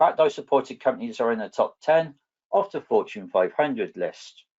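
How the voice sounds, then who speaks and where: A man with a southwest English accent talks at a fairly quick pace in a high voice. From southwest England. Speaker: database architect, conference presenter. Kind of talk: technical presentation.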